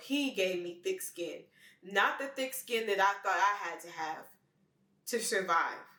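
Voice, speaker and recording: A woman speaks with a Memphis accent. Her pace is moderate. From Memphis, Tennessee, US South. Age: 20s. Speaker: vlogger. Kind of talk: personal monologue.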